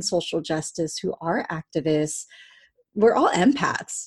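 The recording is very clean, with a silent background. A woman with a Californian accent speaks at a fairly slow pace and a fairly low pitch, with ordinary pitch variation. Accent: Californian American English. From Southern California (Cerritos). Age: 30s. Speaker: storytelling coach and life doula. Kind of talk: interview conversation.

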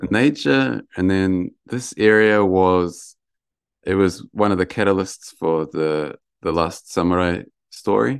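A man speaks at a very slow pace in a very deep, low voice with a New Zealand accent and lively intonation, recorded very cleanly against a silent background. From New Zealand, Lower Hutt, Wellington. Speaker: mountain ascetic practitioner. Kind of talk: interview.

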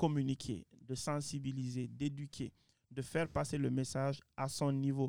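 Fairly slow, fairly high-pitched male speech with a dark, mellow tone and fairly even intonation, dry and close with no echo. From Guinea. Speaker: president of an advocacy council, graduate. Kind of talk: panel discussion interview.

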